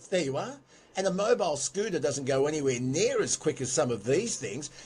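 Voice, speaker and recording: Somewhat breathy speech with an Australian accent, lively intonation and a fairly quick pace. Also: man, fairly high pitch for a man. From Sydney, Australia. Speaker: radio segment presenter. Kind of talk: talkback radio discussion. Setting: home podcast studio.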